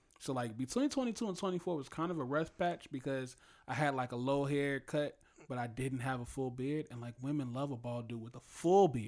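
An ordinary speaking voice from a man, medium in pitch with ordinary pitch variation, at a fairly quick pace on a very clean recording with a silent background. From US Midwest, Chicago South Side. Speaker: rapper. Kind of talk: casual chat.

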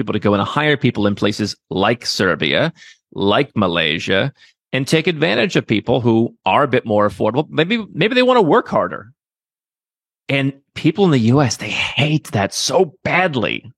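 In an American accent, a man speaks at a moderate pace and medium pitch, with vocal fry and very wide pitch swings. The recording is very clean with a silent background, and the sound is dry and close with no echo. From US Midwest. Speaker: entrepreneur advising on second passports and relocation. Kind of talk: interview.

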